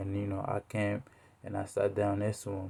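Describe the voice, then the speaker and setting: At a moderate pace, a man with a West African accent speaks at a fairly low pitch with a dark, mellow tone. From Togo, West Africa. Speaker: student speaker. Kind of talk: narrative speech, personal story. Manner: halting, many fillers.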